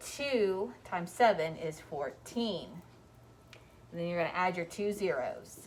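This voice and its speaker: A woman with an unremarkable speaking voice, a fairly low pitch and a fairly slow pace. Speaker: elementary school teacher. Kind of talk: math tutorial. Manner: casual.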